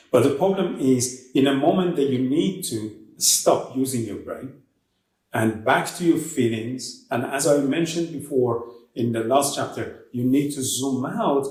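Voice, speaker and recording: Over audible room echo, a man with a non-native accent speaks at medium pitch and a moderate pace, using ordinary pitch variation. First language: not English. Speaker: author discussing own book. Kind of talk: interview answer.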